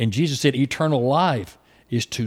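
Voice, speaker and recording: An unremarkable speaking voice comes from a man talking at a fairly slow pace with ordinary pitch variation. The recording is very clean, with a silent background. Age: 60s. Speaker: preacher. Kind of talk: casual chat. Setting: youth camp.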